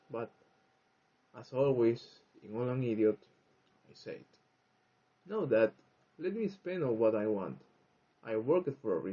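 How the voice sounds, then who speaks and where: A man's medium-pitched voice at a moderate pace, with lively intonation, big swings in loudness, and long, frequent pauses. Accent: Spanish. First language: Spanish. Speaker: English learner, vlogger. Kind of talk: personal monologue. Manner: halting.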